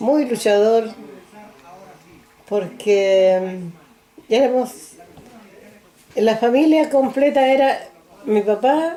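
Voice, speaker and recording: A woman with a high pitch speaks at a very slow pace, with very even loudness, ordinary pitch variation and long, frequent pauses. Noticeable background noise runs underneath. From rural central Chile (San Clemente, Maule). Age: 80s+. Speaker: elderly interviewee recounting life story. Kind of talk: oral history interview. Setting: recorded interview on video camera.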